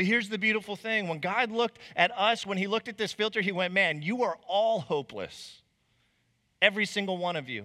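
A man's raised, projected voice, high-pitched with a bright, sharp tone, ordinary pitch variation and a fairly quick pace, on a very clean recording with a silent background. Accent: American. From Arizona, Chandler/Mesa area. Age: 30s. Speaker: preacher. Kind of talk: sermon. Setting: church stage with congregation.

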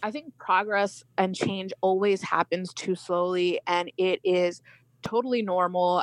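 A woman with an American accent speaks at a fairly low pitch and a fairly slow pace, her intonation fairly even. It is an ordinary speaking voice, recorded with a dry, close sound and no echo. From India, raised in the US. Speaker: attorney and activist. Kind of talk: radio interview.

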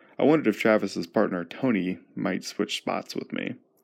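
Vocal fry runs through a man's voice. He speaks at a fairly quick pace. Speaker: podcast host and storyteller. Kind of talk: storytelling narration. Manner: hesitant with fillers.

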